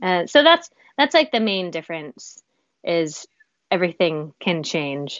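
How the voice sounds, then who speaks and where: A woman with an American accent speaks at a moderate pace in a normal speaking voice, her pitch fairly low. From West Virginia, US. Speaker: musical theater performer. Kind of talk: casual interview.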